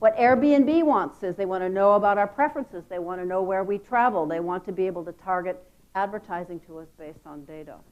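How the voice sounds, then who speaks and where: A woman talks very fast with an American accent and a medium pitch. Her intonation is lively and her loudness swings widely. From United States. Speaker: marketing executive. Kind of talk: conference talk. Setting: stage with audience.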